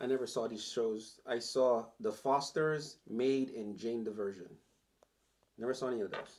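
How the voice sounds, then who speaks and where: A man mumbles at a moderate pace and a medium pitch. His intonation stays fairly even. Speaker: podcast co-host. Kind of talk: casual chat. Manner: mumbling.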